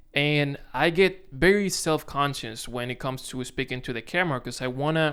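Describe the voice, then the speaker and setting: On a very clean recording with a silent background, a man with a Dominican accent and a fairly high pitch speaks at a moderate pace. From Dominican Republic. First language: Spanish. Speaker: content creator. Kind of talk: casual vlog to camera. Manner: halting, self-correcting.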